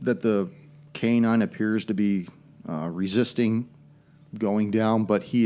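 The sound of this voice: Fairly even intonation from an unforced reading voice.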